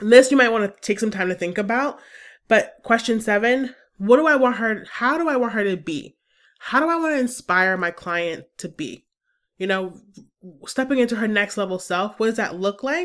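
A woman with a fairly high pitch sounds animated and enthusiastic, her intonation lively. The recording is very clean with a silent background. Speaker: business coach podcaster. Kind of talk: scripted-style solo podcast monologue, coaching. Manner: fast talker; animated, enthusiastic.

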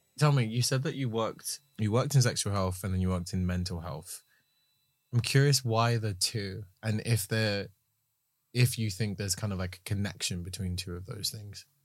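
With a plain, everyday voice, a man speaks at a moderate pace in a fairly low pitch, with ordinary pitch variation and big swings in loudness, on a very clean recording with a silent background. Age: 30s. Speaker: poet and writer. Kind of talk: casual conversation.

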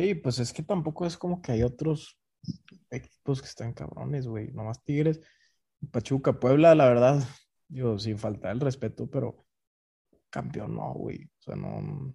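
A man speaks in a dark, mellow, somewhat breathy tone. His pace is fairly slow, with long, frequent pauses and ordinary pitch variation. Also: medium pitch for a man. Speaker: football podcast co-host. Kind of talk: casual chat.

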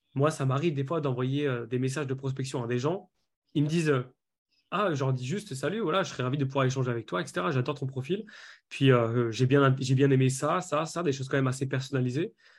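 A man with a medium-pitched, somewhat breathy voice speaks at a fairly quick pace with ordinary pitch variation, on a very clean recording with a silent background. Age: 20s. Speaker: business coach. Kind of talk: interview.

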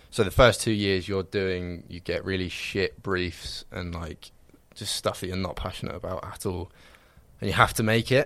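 A man talks at a moderate pace with a very deep, low pitch. The recording is very clean, the background silent. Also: ordinary pitch variation. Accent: southern English. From England (Reading). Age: 20s. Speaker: videographer at a production company. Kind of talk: casual chat.

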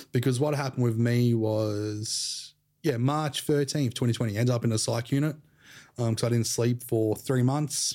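A man with an Australian accent, medium pitch and a dark, mellow tone, at a moderate pace with fairly even intonation and very even loudness, in a very clean recording with a silent background. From Australia, Sydney. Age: 30s. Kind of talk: casual interview chat.

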